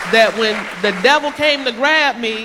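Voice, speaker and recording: Over crowd noise in the background, a woman projects a raised voice in an animated tone with ordinary pitch variation. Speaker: church speaker giving testimony. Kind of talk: testimony. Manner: occasional misspeaking; animated storytelling.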